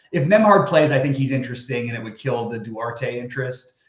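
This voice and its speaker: This man speaks at a very fast pace, and his pitch varies in an ordinary way. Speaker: fantasy sports analyst. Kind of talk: live stream talk. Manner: casual, filler-heavy.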